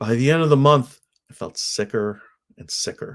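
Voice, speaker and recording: At a moderate pace, the voice comes through on a very clean recording whose background is silent. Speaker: podcaster doing a video challenge. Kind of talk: personal vlog monologue. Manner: uses filler words.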